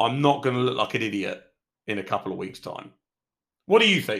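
A man with a British accent speaks in a bright, sharp tone in a very clean recording with a silent background. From Britain. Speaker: MMA podcast host. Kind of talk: casual solo commentary podcast.

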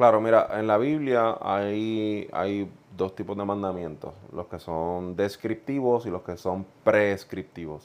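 Against a quiet background, a man with a Puerto Rican accent talks at a very slow pace in a fairly low pitch, with ordinary pitch variation and big swings in loudness. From Puerto Rico (central, Juntas). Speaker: pastor. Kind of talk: casual chat.

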